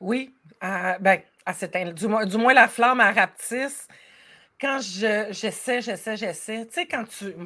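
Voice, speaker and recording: In a Quebec accent, a woman speaks at a very slow pace. Her fairly high pitch has a bright, sharp tone and ordinary pitch variation. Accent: Québécois French. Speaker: life coach. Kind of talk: casual chat.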